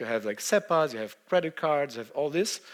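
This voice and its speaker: This man speaks very fast in a fairly high pitch, with a Brazilian accent. His pitch moves in an ordinary way. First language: Portuguese. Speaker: software engineer. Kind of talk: conference talk. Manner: hesitant, many fillers.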